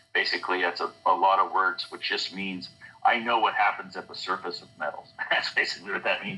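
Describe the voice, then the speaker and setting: A man with an American accent talks at a very fast pace. Noticeable background noise runs underneath. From US West Coast, San Francisco Bay Area. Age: 60s. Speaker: scientist, election integrity activist. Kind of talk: interview. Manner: halting, many fillers.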